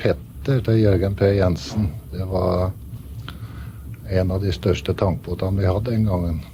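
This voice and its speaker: Noticeable background noise sits behind a man talking at a fairly low pitch. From Northern Norway, Velfjord near Brønnøysund. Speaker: ship's first mate. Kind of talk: radio interview.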